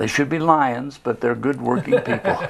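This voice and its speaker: A man speaks with ordinary pitch variation as noticeable background noise carries on. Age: 80s+. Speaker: service club founding member. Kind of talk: casual interview chat.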